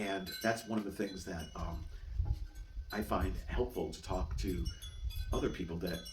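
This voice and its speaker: There is noticeable background noise and audible room echo. Through it, a man is speaking. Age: 60s. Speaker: vlogger living with chronic illness. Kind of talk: casual monologue vlog. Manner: halting, frequent repetitions and fillers.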